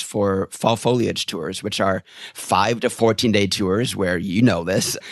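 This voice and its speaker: Here is a man with an American accent and an unremarkable speaking voice. He keeps a moderate pace with ordinary pitch variation. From rural Wisconsin, US. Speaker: tour guide trainer. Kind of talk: casual interview.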